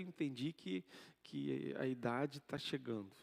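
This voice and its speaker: A man speaks softly. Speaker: pastor. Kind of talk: sermon. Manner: soft-spoken.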